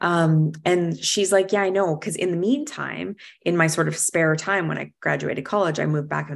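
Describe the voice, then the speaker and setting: A woman's fairly low voice, a normal speaking voice, with ordinary pitch variation and a moderate pace, on a very clean recording with a silent background. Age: 40s. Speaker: interior designer and speaker. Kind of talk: casual chat.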